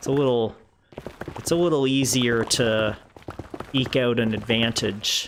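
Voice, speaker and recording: A man with a Canadian Maritime accent, ordinary pitch variation, and noticeable background noise. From Canada, rural Prince Edward Island (Maritimes). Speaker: gaming streamer. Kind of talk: casual live-stream chat. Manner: hesitant, many fillers.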